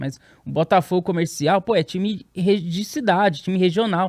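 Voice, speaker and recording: This man's voice carries ordinary pitch variation. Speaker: podcast host. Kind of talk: casual podcast conversation.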